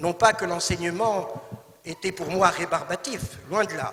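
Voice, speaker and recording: A man speaks in a raised, projected voice with a high pitch. Noticeable background noise sits behind him. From Tunisia, Tunis. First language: Arabic (speaking French). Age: 60s. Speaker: actor. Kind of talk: talk. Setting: stage with audience. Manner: formal.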